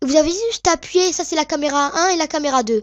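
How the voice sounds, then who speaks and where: A woman is heard in a dry, close sound with no echo on a very clean recording with a silent background. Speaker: video editing tutorial maker. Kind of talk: tutorial. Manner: hesitant, many fillers.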